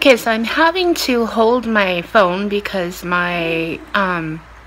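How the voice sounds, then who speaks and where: Noticeable background noise sits behind a woman speaking at a medium pitch. Her intonation is lively. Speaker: vlogger with cancer. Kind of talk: casual vlog.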